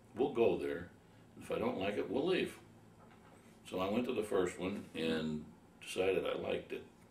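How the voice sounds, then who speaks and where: A man talks with an American accent. Audible room echo and noticeable background noise surround his voice. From Ohio. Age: 60s. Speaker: war veteran. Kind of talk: oral history interview. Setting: veterans reunion.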